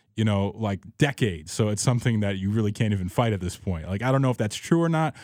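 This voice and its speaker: A man with an American accent, medium pitch and a plain, everyday voice, in a very clean recording with a silent background. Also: dry, close sound with no echo. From Chicago, US Midwest. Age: 30s. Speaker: radio sound producer and DJ. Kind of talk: casual chat.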